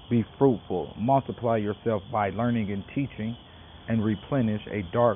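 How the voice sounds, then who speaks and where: With fairly even intonation, a man talks in a normal speaking voice. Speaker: spiritual teacher and podcaster. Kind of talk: sermon-like spiritual teaching, prepared reading. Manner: earnest, preachy, formal.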